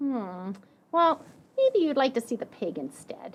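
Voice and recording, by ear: A woman does a put-on character voice, high in pitch and fairly slow.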